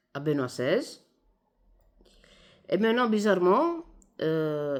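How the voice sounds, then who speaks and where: A woman with an Italian accent talks at a very slow pace, her pitch swinging very widely. The recording is very clean, with a silent background. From Italy. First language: Italian (speaking French). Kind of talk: video monologue. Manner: hesitant, many fillers.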